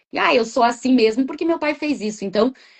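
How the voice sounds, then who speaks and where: A woman at a very fast pace. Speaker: therapist. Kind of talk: casual interview chat. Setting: live video stream. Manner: talkative, chatty.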